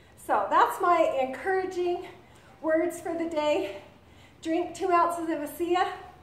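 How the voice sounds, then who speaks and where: Fairly slow speech with audible room echo. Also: woman. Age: 50s. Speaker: vlogger. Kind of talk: product demo and exercise tip. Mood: upbeat, encouraging. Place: home room. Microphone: webcam.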